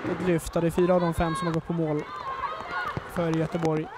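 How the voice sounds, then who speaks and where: A man's high, animated voice over noticeable background noise. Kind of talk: live sports commentary. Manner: fast, excitable, rising with each chance; animated, breathless.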